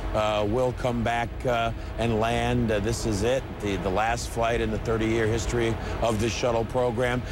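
A man's fairly low voice with fairly even intonation, dry with no echo, over noticeable background noise. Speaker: field reporter. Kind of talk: live news report. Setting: outdoors. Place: open country.

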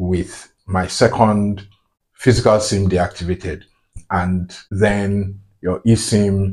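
Speaking very slowly in a flat, monotone way, a man with a fairly low pitch is heard against a quiet background. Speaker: tech tutorial maker. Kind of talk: tutorial. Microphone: phone near.

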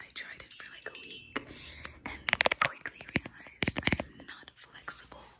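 Soft-spoken and whispering, a woman talks at a fairly slow pace. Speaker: ASMR creator. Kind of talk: casual vlog chat. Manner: soft ASMR whisper.

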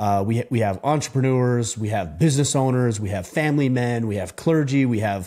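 Against a quiet background, a man with a dark, mellow tone talks at a moderate pace with ordinary pitch variation. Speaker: podcast host. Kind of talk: solo podcast monologue. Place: studio. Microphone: studio mic.

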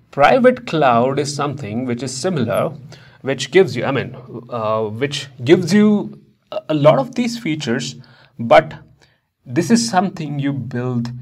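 Against a quiet background, a somewhat breathy man speaks at a fairly slow pace with lively intonation. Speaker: instructor. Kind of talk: lecture. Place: studio. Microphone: lapel.

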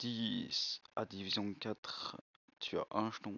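In a very clean recording with a silent background, a man speaks with fairly even intonation, the sound dry and close with no echo. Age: 20s. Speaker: gaming youtuber. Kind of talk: gameplay commentary video. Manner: hesitant, filler-heavy.

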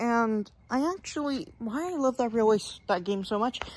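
Recorded with a dry sound and no echo, a woman talks with lively intonation. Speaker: vlogger. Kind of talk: casual vlog chat. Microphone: phone near.

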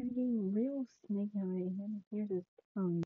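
A woman's voice with ordinary pitch variation, a dry sound with no echo and a quiet background. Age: 20s. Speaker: amateur artist. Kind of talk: casual talk to camera. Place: home room.

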